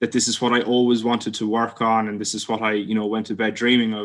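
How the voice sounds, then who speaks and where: A man with an Irish accent in a flat monotone, on a very clean recording with a silent background. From Ireland. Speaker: PhD student. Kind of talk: informal talk. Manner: frequent filler words (um, uh).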